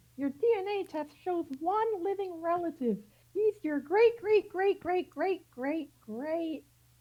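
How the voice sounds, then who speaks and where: A woman's squeaky, put-on character voice, extremely high in pitch, at a fairly slow pace. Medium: stage play. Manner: brisk, businesslike.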